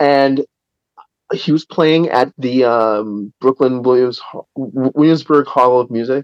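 The speech is very slow and its loudness very even. The sound is dry and close, with no echo. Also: man, medium pitch for a man. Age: 50s. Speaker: rock guitarist. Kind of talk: casual interview. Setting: phone call from backstage. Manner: halting, many fillers.

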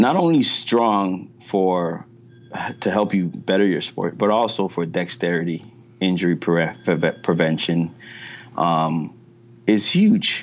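A man's very deep, low voice at a very slow pace, with long, frequent pauses and ordinary pitch variation. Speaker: strength coach. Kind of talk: interview. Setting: gym.

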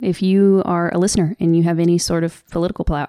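A woman's fairly low voice with a dark, mellow tone, in an American accent. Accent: Southern US, stronger when upset. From US South. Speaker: podcast host. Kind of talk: casual podcast update, upset and earnest. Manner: emotional, upset.

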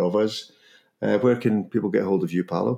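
A fairly quick voice in a Scottish accent, recorded very cleanly against a silent background. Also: man. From Scotland. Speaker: podcast host. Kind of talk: casual conversation podcast. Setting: near London.

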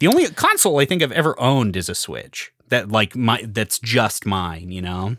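A man's normal speaking voice at medium pitch and moderate pace, with lively intonation, a dry, close sound with no echo, and a very clean recording over a silent background. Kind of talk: casual chat.

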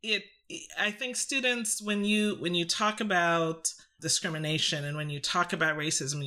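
A fairly low-pitched woman with a bright, sharp tone, a moderate pace and ordinary pitch variation, in a very clean recording with a silent background. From Canada, Trinidadian heritage. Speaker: psychology professor. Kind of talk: academic discussion.

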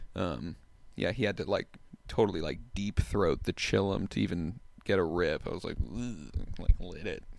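A man's very deep, low voice with vocal fry, ordinary pitch variation and a moderate pace. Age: 20s. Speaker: metal musician. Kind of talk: casual chat. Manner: halting, many fillers.

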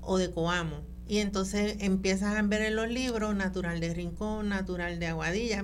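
A woman speaks at a fairly slow pace in a medium pitch, with music playing in the background. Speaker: genealogist. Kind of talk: radio interview.

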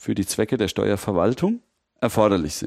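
A man with a normal speaking voice, fairly low in pitch, at a moderate pace, in a dry, close sound with no echo and a very clean recording with a silent background. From Mainz, Rheinhessen. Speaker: lawyer, data protection expert. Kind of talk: interview, expert explanation.

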